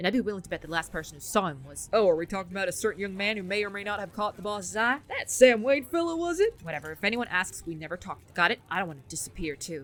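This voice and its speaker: Talking at a very fast pace with hardly any pauses, a woman uses lively intonation and big swings in loudness. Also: medium pitch for a woman. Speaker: gaming streamer. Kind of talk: game playthrough, reading dialogue aloud.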